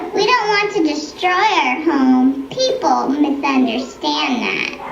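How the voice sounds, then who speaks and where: A cartoonish, female-sounding character voice, high-pitched and fairly slow, with slight echo and clear background noise. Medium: puppet show. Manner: genteel, coy.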